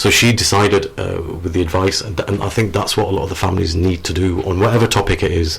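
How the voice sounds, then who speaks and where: A man's very deep, low voice at a very fast pace, with fairly even intonation over noticeable background noise. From northern England, Sheffield, Yorkshire. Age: 40s. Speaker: author. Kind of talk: radio interview. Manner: halting.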